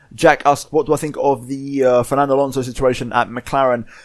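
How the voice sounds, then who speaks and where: This is a man speaking with a British accent. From Spain. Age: young. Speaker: gaming YouTuber. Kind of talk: casual Q&A monologue. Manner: hesitant, many fillers.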